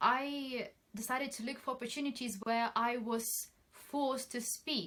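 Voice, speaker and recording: At a fairly slow pace, a woman talks in a high pitch with fairly even intonation. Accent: non-native. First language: not English. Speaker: trainee solicitor. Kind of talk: personal advice talk.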